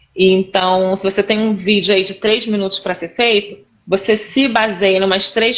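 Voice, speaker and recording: Medium-pitched female voice with fairly even intonation at a fairly quick pace. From Rio de Janeiro, Brazil. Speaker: instructional designer and teacher. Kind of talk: casual interview chat on a live stream. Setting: live stream video call.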